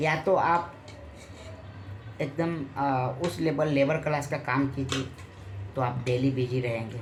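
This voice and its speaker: Spoken with a Bihari accent and fairly even intonation, the voice leaves long, frequent pauses amid noticeable background noise and audible room echo. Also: man, fairly high pitch for a man. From Bihar, Muzaffarpur. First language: Bhojpuri (speaking Hindi). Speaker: film and TV actor. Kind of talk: interview.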